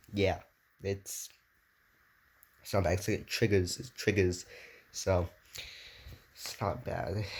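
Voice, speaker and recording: Big swings in loudness mark a man's somewhat breathy, fairly low voice as he talks at a very slow pace with long, frequent pauses and fairly even intonation. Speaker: daily vlogger. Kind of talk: casual vlog. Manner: halting, repetitive.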